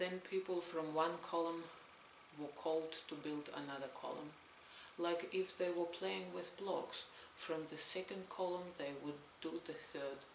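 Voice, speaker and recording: A woman speaks with a Belarusian accent, her pitch fairly low and her intonation fairly even. She talks at a fairly slow pace over noticeable background noise. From Belarus, Stolin. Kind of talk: read story, testimony narration.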